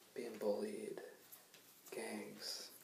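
A man whispers. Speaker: ASMR creator. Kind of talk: ASMR soft spoken talk to camera. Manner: soft-spoken, casual, hesitant. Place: home room. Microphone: webcam.

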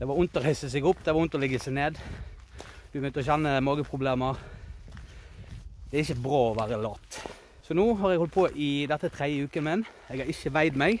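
Speaking very fast with ordinary pitch variation, a man is heard in a dry sound with no echo over light background noise. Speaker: vlogger. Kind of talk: casual vlog chat. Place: forest. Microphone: phone near.

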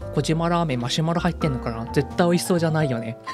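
Music plays in the background as a man with a fairly high pitch talks with lively intonation in an upbeat, playful tone. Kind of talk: casual talk to camera, fan art showcase.

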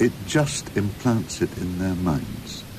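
A man talks at a very slow pace with ordinary pitch variation. Background noise is noticeable. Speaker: interviewee. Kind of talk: interview answer. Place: studio. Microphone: studio mic.

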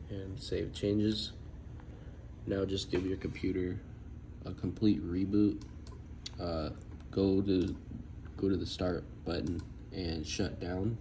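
Very slowly and with long, frequent pauses, a man speaks in a very deep, low pitch that is somewhat breathy. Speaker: tech tutorial maker. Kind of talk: screen-recorded tech tutorial narration. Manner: casual.

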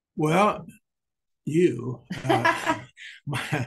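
A somewhat breathy man against a quiet background. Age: 80s+. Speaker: swim student, father. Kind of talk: interview answer. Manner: hesitant, repetitive. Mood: warm, grateful. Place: home room.

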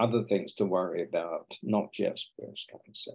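A man with a British accent talks over a quiet background. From England. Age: 80s+. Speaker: breast cancer surgeon and professor. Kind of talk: podcast interview. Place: home room. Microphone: video call.

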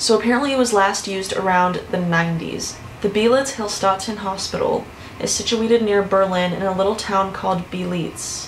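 A woman at a moderate pace, with ordinary pitch variation and light background noise. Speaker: youtuber. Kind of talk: casual vlog chat. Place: home room.

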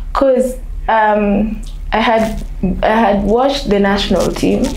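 Noticeable room echo and light background noise surround this recording. A woman speaks at a fairly slow pace. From Kenya, Nairobi. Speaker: basketball national team manager. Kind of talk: interview. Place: home room.

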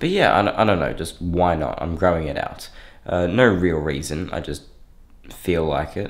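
A man with a very deep, low voice. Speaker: fitness vlogger. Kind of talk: casual vlog chat. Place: home room. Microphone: phone near.

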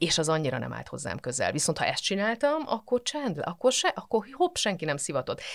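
Against a quiet background, a woman with vocal fry speaks at a fairly quick pace with very wide pitch swings and hardly any pauses. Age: 40s. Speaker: physicist and mental health professional; podcast guest. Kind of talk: casual interview chat. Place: studio.

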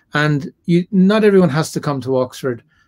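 This man has an Irish accent. He speaks at a moderate pace with ordinary pitch variation. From Ireland. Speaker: religious scholar and lecturer; guest. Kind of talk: interview. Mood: relaxed, reflective. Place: home room. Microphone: webcam.

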